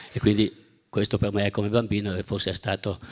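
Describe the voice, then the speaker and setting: Recorded very cleanly against a silent background, a man talks at a fairly quick pace in a fairly low pitch. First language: German (speaking Italian). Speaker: architect. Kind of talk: lecture. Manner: halting.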